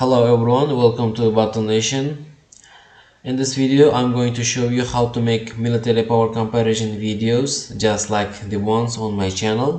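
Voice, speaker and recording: The speaker has a non-native accent and keeps a moderate pace. Noticeable background noise runs underneath. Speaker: YouTube creator. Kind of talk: tutorial. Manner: halting, with many uh fillers.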